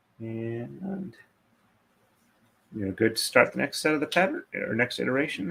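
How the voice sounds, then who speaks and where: Speaking quietly at a moderate pace, a man leaves long, frequent pauses. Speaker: craft livestreamer, braider. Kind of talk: live stream chat while braiding. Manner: hesitant, many fillers.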